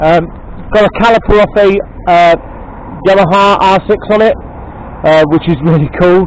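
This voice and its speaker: Against noticeable background noise, a man with a high voice speaks with fairly even intonation and long, frequent pauses. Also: moderate pace. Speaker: motorcycle video channel host. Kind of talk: casual vlog commentary. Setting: outdoors at workplace estate. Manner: loud, shouting; hesitant, many fillers. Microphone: poor microphone sound.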